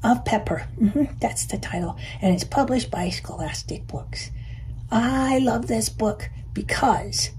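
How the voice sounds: What you hear is a natural reading voice. It reads the words aloud.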